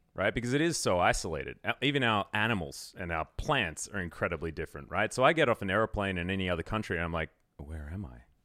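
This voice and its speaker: With an Australian accent, a man with a very deep, low pitch and a bright, sharp tone talks at a very fast pace with hardly any pauses and very wide pitch swings. The recording is very clean, dry and close, with a silent background and no echo. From Australia, Melbourne. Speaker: esports commentator. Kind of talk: casual chat.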